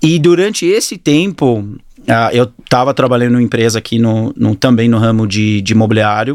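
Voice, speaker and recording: With an English accent, a man speaks at a moderate pace and with lively intonation. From New Zealand and Australia (Auckland-born, moved to Australia at 10). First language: English (speaking Portuguese). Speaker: fitness studio entrepreneur. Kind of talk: interview. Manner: halting.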